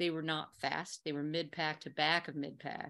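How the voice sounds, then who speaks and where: This is a normal speaking voice from a woman, pitched fairly low. The recording is very clean, with a silent background. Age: 50s. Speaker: ultrarunner. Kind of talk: casual chat.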